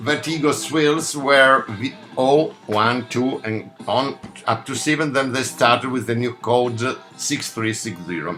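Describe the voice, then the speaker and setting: Music plays in the background as a man speaks with an Italian accent. His pace is very slow and his intonation lively. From Italy. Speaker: record collector. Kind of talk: video talk showing a record collection. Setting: home studio, alone in front of camera. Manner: halting, many fillers.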